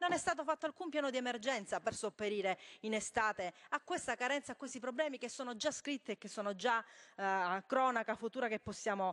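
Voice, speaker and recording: Against a quiet background, a woman with a fairly high voice speaks at a fairly quick pace with lively intonation. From Calabria, Tropea; Calabria. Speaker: member of parliament. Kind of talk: parliamentary speech. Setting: parliament chamber. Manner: halting, many fillers. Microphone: podium.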